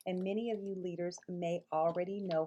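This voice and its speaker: The voice has an American accent and a warm tone. Its intonation is monotone and flat. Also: woman. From Mississippi. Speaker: early childhood director trainer. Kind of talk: online course introduction. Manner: warm, conversational with fillers.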